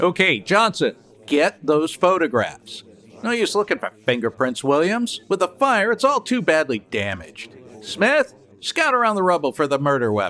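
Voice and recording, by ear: A put-on character voice with very wide pitch swings, a bright, sharp tone, a moderate pace and few pauses. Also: man, fairly high pitch for a man.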